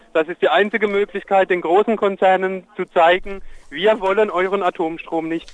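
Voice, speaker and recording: At a moderate pace, a man with a high pitch speaks in a monotone, flat intonation. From Germany, Palatinate. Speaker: protest participant. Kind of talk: live phone report. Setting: outdoors on a street at a protest, phone call.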